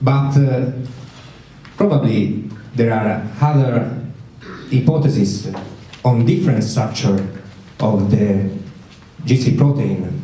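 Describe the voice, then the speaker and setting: A man with an Italian accent at a medium pitch, very slow and broken by long, frequent pauses, ordinary pitch variation, noticeable background noise and audible room echo. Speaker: doctor, conference speaker. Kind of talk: conference talk. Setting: conference with audience. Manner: halting, many hesitations.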